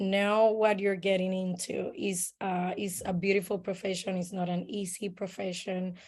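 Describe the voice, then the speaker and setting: A woman talks at a fairly slow pace, her medium-pitched voice dark and mellow in tone. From Puerto Rico. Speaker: midwife. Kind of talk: casual conversation.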